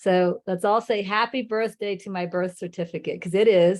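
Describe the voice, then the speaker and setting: A woman speaks at a moderate pace and medium pitch over a quiet background. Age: 60s. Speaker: spiritual teacher. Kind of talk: talk to live online group. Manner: casual, hesitant with fillers.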